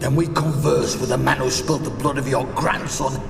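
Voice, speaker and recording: A man puts on a character voice at a medium pitch and a fairly quick pace. There is a clear echo and loud background noise. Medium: video game.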